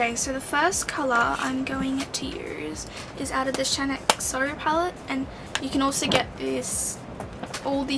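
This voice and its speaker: A soft-spoken woman with a high voice talks at a moderate pace, with audible room echo and noticeable background noise. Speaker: beauty vlogger. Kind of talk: makeup tutorial.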